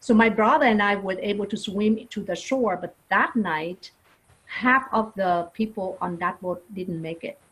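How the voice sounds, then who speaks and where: A woman with a Vietnamese accent, somewhat breathy, at a medium pitch and a moderate pace. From Vietnam, Saigon. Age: 50s. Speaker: non-profit leader. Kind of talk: interview testimony. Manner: halting with fillers.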